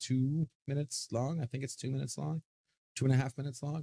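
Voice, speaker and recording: In a very clean recording with a silent background, a man with a medium pitch and a dark, mellow tone talks at a very fast pace, somewhat breathy, with a dry, close sound with no echo. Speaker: livestream host. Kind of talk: casual live stream chat. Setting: home streaming desk with green screen.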